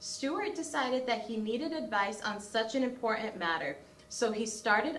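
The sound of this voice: An unforced reading voice carries the passage.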